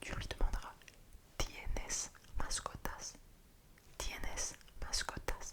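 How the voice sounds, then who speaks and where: A man is whispering at a fairly slow pace. Noticeable background noise can be heard. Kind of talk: ASMR role-play, helping someone revise for a Spanish test. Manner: soft-spoken, whispering.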